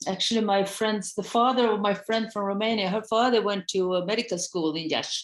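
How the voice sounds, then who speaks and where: A woman talks at a medium pitch with fairly even intonation. She barely pauses at all. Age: 60s. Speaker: psychologist. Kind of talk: casual chat. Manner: halting.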